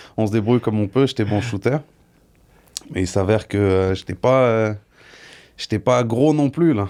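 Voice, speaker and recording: Taking long, frequent pauses, a man speaks at a medium pitch with a Parisian accent, a dark, mellow tone and ordinary pitch variation. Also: moderate pace. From France, Paris region (Yvelines). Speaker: professional bodybuilder. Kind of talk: casual interview.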